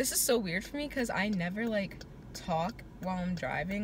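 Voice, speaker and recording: Over light background noise, a woman speaks at a moderate pace with ordinary pitch variation, the sound dry with no echo. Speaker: vlogger. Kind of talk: casual vlog chat. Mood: reflective, a bit frustrated. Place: car. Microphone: phone near.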